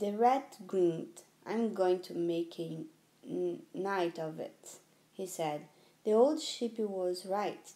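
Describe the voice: The speaker does plain reading aloud. Pitch moves in an ordinary way.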